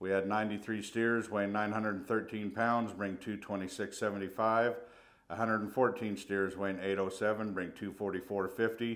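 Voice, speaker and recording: Monotone and flat, a man speaks with a fairly low pitch. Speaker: stockyard market reporter. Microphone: phone near.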